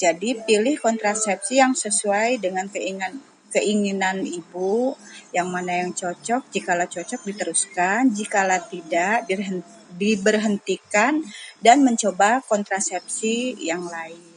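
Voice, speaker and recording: A woman's medium-pitched voice at a fairly slow pace, over noticeable background noise. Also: ordinary pitch variation. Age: 50s. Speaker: housewife interviewee. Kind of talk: interview.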